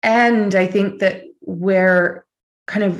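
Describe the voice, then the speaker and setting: Here is a woman with an Australian accent. Her pitch is medium, with ordinary variation. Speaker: author, spiritual teacher. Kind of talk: casual chat. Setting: video call.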